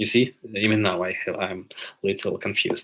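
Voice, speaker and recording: A man with a Ukrainian accent at a fairly low pitch and moderate pace, with fairly even intonation. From Ukraine. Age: 20s. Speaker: livestreamer. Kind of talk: live Q&A stream. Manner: halting with many filler sounds.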